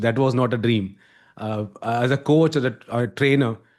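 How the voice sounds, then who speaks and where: A man speaks with an Indian accent. The background is quiet. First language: Hindi. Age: 40s. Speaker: communication coach. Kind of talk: podcast interview.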